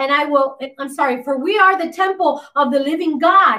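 A woman speaks in a raised, projected voice with a stern tone, a high pitch and ordinary pitch variation. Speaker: pastor. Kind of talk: sermon. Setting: livestream on YouTube and Facebook; church. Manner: animated; insistent and stern, earnest.

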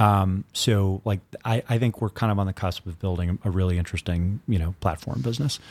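A man with a fairly low voice and ordinary pitch variation speaks at a fairly quick pace, recorded very cleanly over a silent background with a dry, close sound and no echo. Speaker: crypto media executive. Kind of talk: casual interview chat. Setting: studio office. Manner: fast talker.

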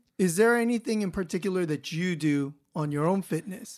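At a moderate pace, a man with a Californian accent talks in a high pitch with ordinary pitch variation, recorded very cleanly against a silent background. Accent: Californian American English. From Los Angeles, US. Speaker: podcast host. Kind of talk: casual interview chat.

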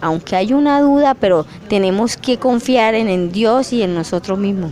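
A woman with an ordinary speaking voice talks at a fairly slow pace, her intonation lively. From Colombia, Norte de Santander (Catatumbo). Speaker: rural teacher and community leader. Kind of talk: research interview.

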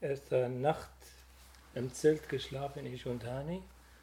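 With an Arabic accent, a man speaks at a fairly slow pace and medium pitch in a dark, mellow, somewhat breathy tone. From Syria. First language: Arabic (speaking German). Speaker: refugee. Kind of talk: testimony. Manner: halting.

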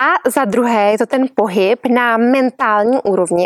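Calm in tone, a woman speaks with a high pitch and ordinary pitch variation. The sound is dry and close with no echo, though noticeable background noise is present. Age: 40s. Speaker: yoga teacher. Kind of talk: podcast monologue.

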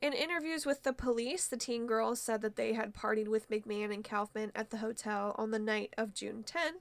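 Moderately paced, a woman uses an ordinary speaking voice pitched fairly high, her pitch varying in an ordinary way. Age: 20s. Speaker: podcast co-host. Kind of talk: casual chat.

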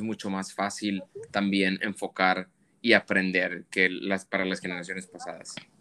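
A man speaks in a normal speaking voice at a fairly low pitch. His pace is moderate. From Monterrey, Mexico. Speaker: fashion photographer. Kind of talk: interview conversation.

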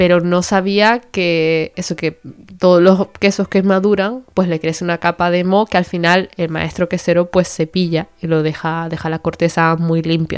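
A woman's fairly low voice, monotone and flat, at a fairly slow pace with hardly any pauses, on a very clean recording with a silent background. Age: 20s. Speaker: podcast host, medical resident. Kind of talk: casual educational monologue.

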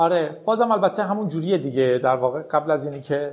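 At a very fast pace, a man talks with ordinary pitch variation. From Iran. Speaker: podcaster and programmer. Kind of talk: casual interview.

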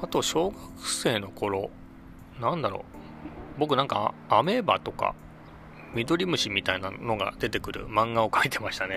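A man speaks at a moderate pace with lively intonation and long, frequent pauses. Music plays behind him. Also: medium pitch for a man. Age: 50s. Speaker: podcast host. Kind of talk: casual monologue. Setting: outdoors under a bridge. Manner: many fillers. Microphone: echoey space.

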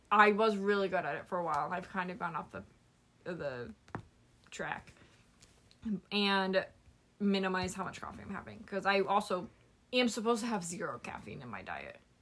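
A woman speaks with vocal fry, long, frequent pauses and big swings in loudness. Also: medium pitch for a woman, ordinary pitch variation, moderate pace. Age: 20s. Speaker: podcast co-host. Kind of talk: casual chat.

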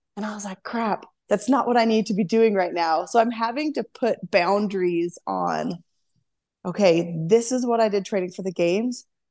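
Here a woman talks in a normal speaking voice at a medium pitch. Her pace is moderate, with ordinary pitch variation. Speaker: CrossFit athlete. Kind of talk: casual interview chat.

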